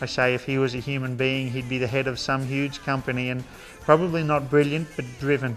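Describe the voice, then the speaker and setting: A man at medium pitch with an Australian accent, monotone and flat, music in the background. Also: fairly quick pace. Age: 30s. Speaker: horseman and entertainer. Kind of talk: interview answer.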